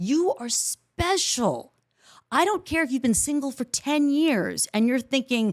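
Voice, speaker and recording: With an animated tone and lively intonation, a woman speaks at a high pitch, the sound dry and close with no echo. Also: fairly slow pace, very clean recording, silent background. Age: 50s. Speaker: podcast host. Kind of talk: solo podcast monologue.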